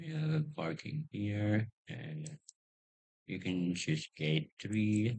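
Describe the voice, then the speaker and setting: A man's fairly low voice, somewhat breathy, with very wide pitch swings at a very slow pace. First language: not English. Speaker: YouTuber. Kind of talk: tutorial. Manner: halting.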